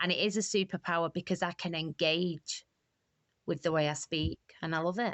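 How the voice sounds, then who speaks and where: Speaking at a fairly quick pace, a woman with a strong Manchester accent has a fairly low pitch. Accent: broad Mancunian. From Manchester, England. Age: 40s. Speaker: recovery charity co-founder. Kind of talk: podcast interview. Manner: animated.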